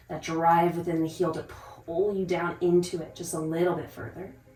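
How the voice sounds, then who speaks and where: At a moderate pace, a woman speaks in a fairly low, monotone, flat voice amid audible room echo and noticeable background noise. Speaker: yoga instructor. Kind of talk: guided yoga class.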